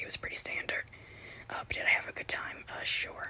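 Whispered words come at a fairly quick pace, with noticeable background noise behind them. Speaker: wrestling commentary YouTuber. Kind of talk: excited profanity-laced rant gloating over a wrestler's coming meltdown. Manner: heavily stammering, repeats words constantly with many ums; gleeful, swearing enthusiasm.

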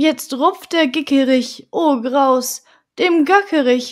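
A woman speaks in a high pitch with a playful tone. The recording is very clean, with a silent background. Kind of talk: bedtime story reading aloud. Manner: soft, calm, gently paced; playful, rhythmic rhyming delivery.

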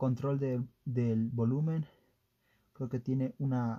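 Intonation keeps fairly even. The voice has a dark, mellow tone. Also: man. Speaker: product reviewer. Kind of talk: unboxing commentary. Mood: hesitant, unsure of wording. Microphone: phone near.

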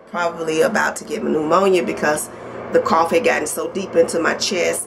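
Against noticeable background noise, a woman talks at a moderate pace. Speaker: vlogger. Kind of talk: casual vlog chat. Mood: warm, upbeat. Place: home room. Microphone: phone near.

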